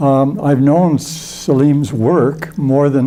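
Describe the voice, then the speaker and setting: This man's voice has a fairly high pitch and a dark, mellow tone. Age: old. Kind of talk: endorsement speech. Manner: halting.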